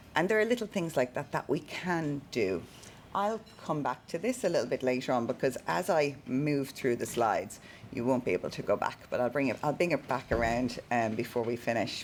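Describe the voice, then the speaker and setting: A woman's very deep, low voice in an Irish accent, with very wide pitch swings and a moderate pace. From Ireland. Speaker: keynote speaker on neuro-inclusion. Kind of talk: presentation to a live audience. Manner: halting with many fillers and repetitions.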